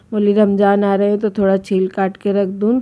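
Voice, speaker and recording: A woman talks at a moderate pace with a dark, mellow tone at a medium pitch. Her intonation is monotone and flat. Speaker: home vlogger. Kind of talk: casual vlog narration.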